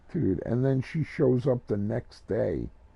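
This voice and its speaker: A man speaks with an American accent. His tone is animated and his intonation lively. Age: 50s. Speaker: gaming livestreamer. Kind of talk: casual chat.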